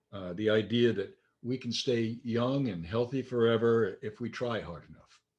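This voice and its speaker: Over a quiet background, a man speaks in a plain, everyday voice. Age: 60s. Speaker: minister. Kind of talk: sermon. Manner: conversational.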